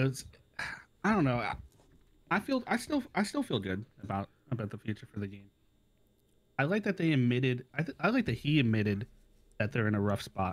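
Pauses are long and frequent, though the pace is fairly quick. Pitch swings very widely. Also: man, medium pitch for a man. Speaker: gamer friend. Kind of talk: casual chat. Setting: Discord call. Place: home room. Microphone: studio mic.

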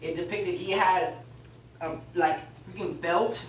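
Audible room echo and light background noise surround the speech. A man talks with ordinary pitch variation. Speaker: class teacher. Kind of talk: bible class teaching, reading aloud and explaining. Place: classroom. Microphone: camera far.

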